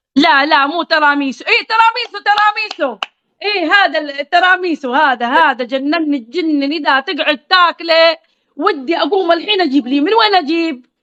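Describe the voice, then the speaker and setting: Her pitch extremely high, a woman talks at a moderate pace with lively intonation. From Qatif, Eastern Province, Saudi Arabia. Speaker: social media live streamer. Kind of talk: casual chat on a live stream. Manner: animated; informal.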